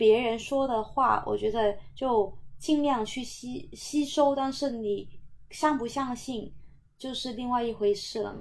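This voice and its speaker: A woman with a Cantonese accent speaks fairly slowly in a high voice with ordinary pitch variation. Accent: Cantonese-accented Mandarin. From Macau. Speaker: hyouth hostel owner. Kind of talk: casual interview chat. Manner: hesitant, many fillers.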